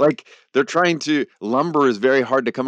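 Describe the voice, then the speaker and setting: A man's fairly high voice with vocal fry at a moderate pace, dry and close with no echo against a quiet background. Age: 50s. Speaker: theology professor and author. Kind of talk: interview conversation.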